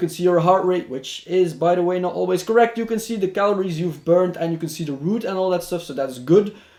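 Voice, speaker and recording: The man has a non-native accent and a high pitch. His pitch variation is ordinary. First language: not English. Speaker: tech reviewer. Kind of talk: product review. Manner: casual, with many hesitations.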